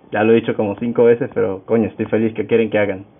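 A man's voice, fairly low in pitch. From Venezuela, Táchira state. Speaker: podcast host, music student. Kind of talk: casual solo podcast talk.

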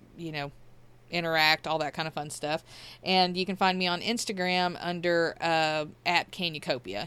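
A woman with a Southern US accent speaks at a moderate pace in a monotone, flat intonation, captured in a very clean recording with a silent background. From Mississippi. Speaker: podcast host, nurse. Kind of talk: podcast outro; casual interview chat.

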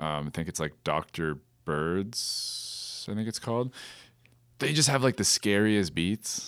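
On a very clean recording with a silent background, a man in an unremarkable speaking voice talks at a fairly slow pace, with fairly low pitch and lively intonation. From Kitchener-Waterloo, Ontario, Canada. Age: 30s. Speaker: DJ. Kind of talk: casual chat.

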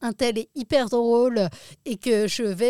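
In a very clean recording with a silent background and a dry, close sound with no echo, a woman speaks very slowly with a fairly high pitch and a dark, mellow tone. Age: 30s. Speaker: comedian. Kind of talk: casual chat. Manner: halting.

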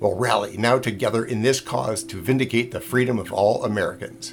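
Music plays in the background behind a man with a medium pitch. He talks at a fairly quick pace with ordinary pitch variation. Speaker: podcast host. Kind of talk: period speech, archival political address to a formal audience.

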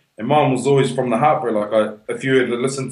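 A man talks at a very fast pace. Noticeable background noise runs beneath him. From New Zealand, Whanganui. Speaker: hip hop artist. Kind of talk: casual interview.

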